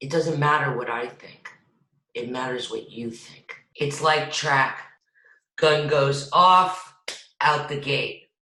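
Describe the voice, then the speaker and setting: In a room with audible echo, a woman speaks at a very slow pace with ordinary pitch variation and a bright, sharp tone. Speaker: acting coach. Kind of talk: lecture. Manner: loud; animated.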